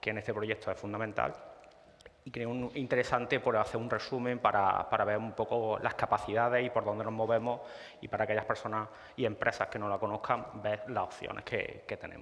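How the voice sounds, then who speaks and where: A man's medium-pitched voice runs fairly quickly in monotone, flat intonation. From Spain, Córdoba (Andalusia). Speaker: GIS consultant presenting at a tech talk. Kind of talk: conference presentation. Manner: halting, many fillers and repetitions.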